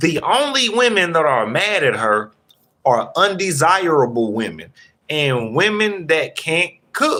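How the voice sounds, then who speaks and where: With a Southern US accent, a high-pitched man speaks at a fairly slow pace, his pitch swinging very widely. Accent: Southern drawl. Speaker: commentator talking to viewers. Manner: casual, slangy commentary.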